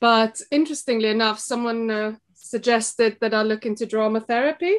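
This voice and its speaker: A woman speaks with a South African accent at a fairly high pitch. Her intonation stays fairly even. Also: fairly quick pace. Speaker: shop co-owner and former teacher. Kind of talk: podcast interview. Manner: hesitant, many fillers.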